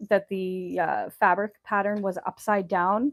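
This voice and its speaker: A woman in a normal speaking voice, medium pitch and ordinary pitch variation, on a very clean recording with a silent background and a dry, close sound with no echo. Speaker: sewing channel host. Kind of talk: live tutorial. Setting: livestream at sewing table.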